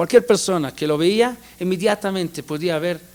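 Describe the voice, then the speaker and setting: With ordinary pitch variation, a man talks at a fairly quick pace in a high-pitched voice. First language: not Spanish; learned it as an adult (speaking Spanish). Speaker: rabbi teaching Torah classes. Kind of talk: lecture. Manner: halting, with repetitions and fillers.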